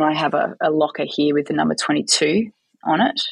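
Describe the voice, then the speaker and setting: A woman with an Australian accent at a moderate pace, dry and close with no echo. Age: 40s. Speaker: football coach. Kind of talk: interview.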